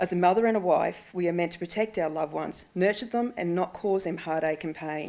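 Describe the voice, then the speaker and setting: Speaking at a fairly quick pace with an Australian accent, a woman with a fairly low voice shows ordinary pitch variation. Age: 40s. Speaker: ovarian cancer patient and awareness advocate. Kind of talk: prepared speech to parliamentarians. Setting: speech at a breakfast event.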